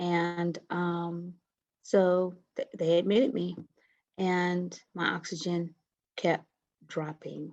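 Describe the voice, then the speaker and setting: Soft-spoken and fairly low-pitched, a woman talks at a very slow pace with long, frequent pauses and fairly even intonation against a quiet background. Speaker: COVID-19 survivor. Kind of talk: interview. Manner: halting.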